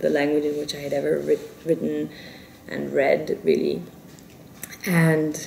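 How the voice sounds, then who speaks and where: Noticeable background noise sits under the recording. The speaker is a woman. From South Korea, South Africa, India. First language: Spanish. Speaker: novelist. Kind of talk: interview. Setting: Paris interview. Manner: halting, self-correcting.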